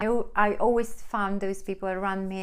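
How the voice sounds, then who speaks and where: A woman with a Polish accent speaks in a medium pitch. Her pace is moderate and her pitch variation ordinary. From Poland. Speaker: vlogger, HR professional. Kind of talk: advice vlog. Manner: hesitant fillers.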